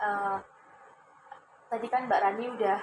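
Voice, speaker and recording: The woman's voice has a fairly high pitch. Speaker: counseling student acting as counselor. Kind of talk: counseling session role-play. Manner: warm, encouraging.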